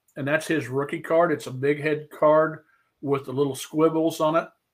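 Flat, monotone intonation marks this man's speech. He talks with an American accent. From Missouri, US. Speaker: sports card collector and YouTuber. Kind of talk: casual interview chat, storytelling. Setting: video call. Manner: good orator, storyteller.

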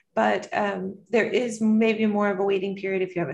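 A woman is speaking. She has an American accent. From US South, North Carolina. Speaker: pediatrician. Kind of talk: interview. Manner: hesitant with many fillers.

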